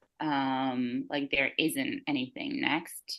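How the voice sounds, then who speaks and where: The speaker goes at a fairly slow pace against a quiet background. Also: woman. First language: not English. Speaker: runner. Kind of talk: casual chat. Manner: halting, many fillers.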